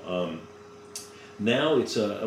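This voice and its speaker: A man with a fairly low voice and ordinary pitch variation talks while noticeable background noise carries on. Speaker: voice actor. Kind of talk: casual interview.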